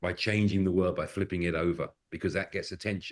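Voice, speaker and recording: Over a quiet background, a man with a British accent speaks at a moderate pace in a very deep, low pitch. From Britain. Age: middle-aged. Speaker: facilitator and improviser. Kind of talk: podcast interview.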